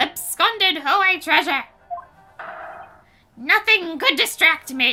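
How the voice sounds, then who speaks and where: This put-on character voice moves at a fairly slow pace. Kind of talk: comic overacting. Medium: game stream. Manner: pompous, archaic and flowery.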